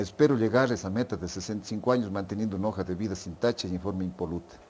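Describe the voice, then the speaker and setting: A man talks at a very fast pace with a fairly low pitch. His pitch variation is ordinary. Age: 60s. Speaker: physician. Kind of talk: podcast interview.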